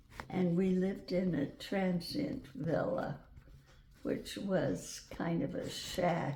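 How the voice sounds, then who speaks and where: Amid noticeable background noise, a woman of medium pitch speaks at a very slow pace with lively intonation. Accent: American. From Wyoming, USA. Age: 80s+. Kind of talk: interview answer. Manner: slow, hesitant.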